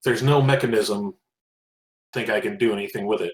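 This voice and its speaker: A man's raspy put-on character voice at a medium pitch, fairly quick, with lively intonation and a dry, close sound with no echo. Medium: actual play.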